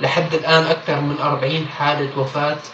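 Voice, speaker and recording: In a Syrian accent, a man speaks at a fairly slow pace with a fairly high pitch and a monotone, flat intonation. Noticeable background noise and audible room echo are present. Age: young. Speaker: activist. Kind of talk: appeal.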